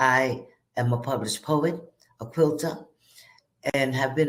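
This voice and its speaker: Audible room echo surrounds a woman speaking at a moderate pace, her very deep, low pitch held in fairly even intonation. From Puerto Rico. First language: Spanish. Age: 70s. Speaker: graduate speaker. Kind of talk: testimony.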